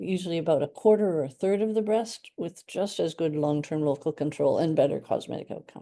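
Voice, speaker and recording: In a Canadian accent, a woman with a dark, mellow tone talks at a moderate pace with ordinary pitch variation over a quiet background. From Canada. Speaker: radiation oncologist. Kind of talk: educational talk. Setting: hybrid workshop with audience. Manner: hesitant fillers (um, uh).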